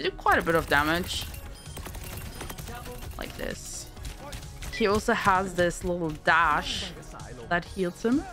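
This woman's pitch moves in an ordinary way as music plays behind her. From Germany. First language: German. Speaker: Twitch streamer. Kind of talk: game ability overview voiceover. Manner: casual.

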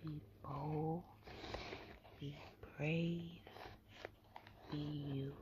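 Against noticeable background noise, a woman with a very deep, low pitch speaks with fairly even intonation in a dry sound with no echo. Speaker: ASMR creator. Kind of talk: casual talk to camera. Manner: whispered, soft. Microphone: webcam.

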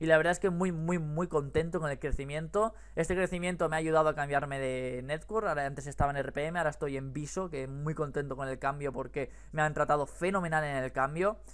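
Fairly quick speech from a man with a fairly high voice. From Spain. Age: 20s. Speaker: YouTuber. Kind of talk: casual chat. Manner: animated. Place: home room. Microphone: headset.

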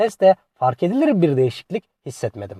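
Dry and close with no echo, the recording carries a man's fairly high voice with a dark, mellow tone. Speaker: car review YouTuber. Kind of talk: product review narration.

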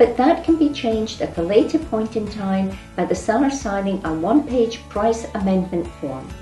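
Faint music plays behind a woman, and room echo is audible. She talks at a moderate pace with hardly any pauses. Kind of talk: tutorial. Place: office.

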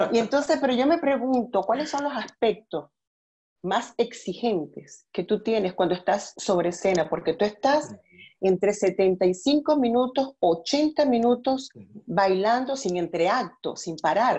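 Intonation is lively. The tone sounds dark and mellow. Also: woman, fairly high pitch for a woman, fairly slow pace. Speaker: interviewer. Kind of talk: interview question. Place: home room. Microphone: earbuds.

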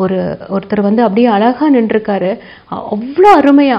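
This woman speaks at a fairly high pitch with ordinary pitch variation. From Tamil Nadu, Palani area; Tamil Nadu. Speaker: medical doctor and ministry leader. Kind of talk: testimony. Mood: earnest, warm. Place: studio.

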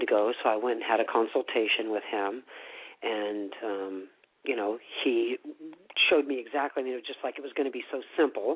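With an American accent, a man speaks at medium pitch and moderate pace with ordinary pitch variation. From US Midwest (Iowa). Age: 50s. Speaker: retreat owner, former nurse. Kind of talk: interview. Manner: hesitant, many fillers.

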